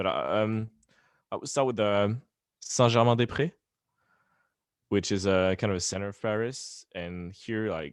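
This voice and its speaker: Here a man with a French accent talks at a fairly low pitch and a moderate pace. His delivery has long, frequent pauses and ordinary pitch variation. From France. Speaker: pop punk band member. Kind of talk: interview. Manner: halting.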